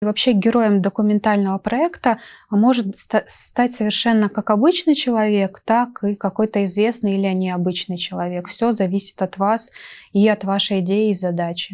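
A woman is speaking at a moderate pace. Her intonation stays fairly even. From Russian Far East, Nakhodka (Primorye); Russian Far East. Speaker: journalist and photographer, university lecturer; journalist, university lecturer. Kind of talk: talk show interview. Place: studio. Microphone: lapel.

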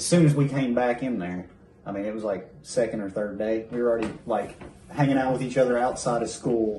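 Speaking at a fairly quick pace with ordinary pitch variation, a man's voice carries audible room echo. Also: medium pitch for a man. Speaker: YouTube creator, animator. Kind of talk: casual chat. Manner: animated.

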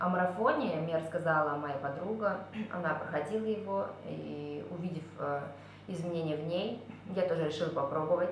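A woman speaks at a moderate pace and a fairly low pitch, with ordinary pitch variation and long, frequent pauses. Room echo is audible, along with light background noise. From Kazakhstan. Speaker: course participant giving a testimonial. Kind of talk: testimonial monologue. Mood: calm, reflective. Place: home room. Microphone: webcam.

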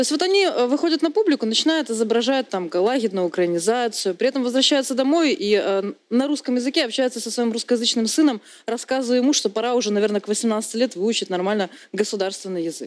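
Talking at a very fast pace, a woman uses lively intonation and a fairly high pitch. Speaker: journalist, deputy chief editor; talk show guest. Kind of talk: TV talk show discussion. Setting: TV studio. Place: studio.

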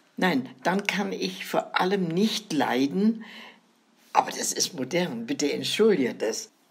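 A woman speaks at a very slow pace. Her medium-pitched voice swings very widely in pitch. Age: 90s. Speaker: grandmother storyteller. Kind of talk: casual chat.

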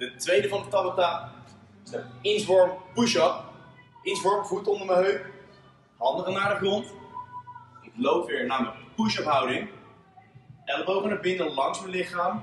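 Faint background music, audible room echo, a fairly slow pace with long, frequent pauses, big swings in loudness and ordinary pitch variation. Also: man, high pitch for a man. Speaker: fitness coach. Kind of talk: tutorial. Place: gym. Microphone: camera far.

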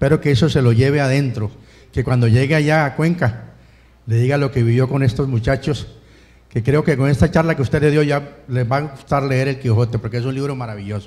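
Somewhat breathy and dark, mellow in tone, a man's voice keeps fairly even intonation. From Colombia. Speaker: audience member, former student; audience member. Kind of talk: audience comment. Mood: warm, appreciative. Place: classroom. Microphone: handheld.

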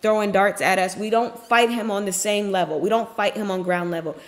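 A woman speaks at a very fast pace. Her intonation stays fairly even. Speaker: faith content creator. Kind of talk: devotional message, casual sermon. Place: office. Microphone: webcam.

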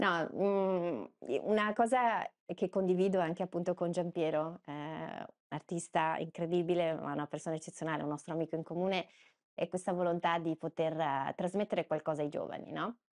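A woman's unremarkable speaking voice, fairly low in pitch, at a moderate pace with fairly even intonation over a quiet background. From Veneto, province of Padua; Veneto. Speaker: journalist. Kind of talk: interview conversation. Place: office. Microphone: lapel.

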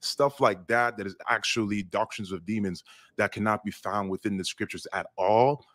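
Heard dry and close with no echo on a very clean recording with a silent background, a man uses a normal speaking voice at a fairly low pitch, a moderate pace and fairly even intonation. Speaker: online discussion participant. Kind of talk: casual discussion.

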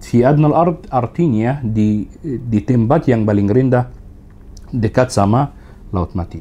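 A man's pitch varies in an ordinary way as he talks at a very slow pace. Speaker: tour operator. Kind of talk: casual interview. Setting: studio. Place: studio. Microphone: studio mic.

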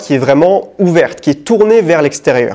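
A man with a fairly high pitch speaks at a fairly quick pace, his intonation lively and his tone slightly mellow.

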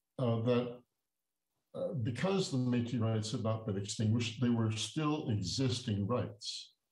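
Somewhat breathy and medium-pitched, a man talks at a fairly slow pace with ordinary pitch variation and very even loudness, with audible room echo over a quiet background. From Ontario, Canada. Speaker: Métis elder and negotiator. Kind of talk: talk with history lesson. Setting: video call. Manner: halting, many fillers. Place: home room. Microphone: webcam.

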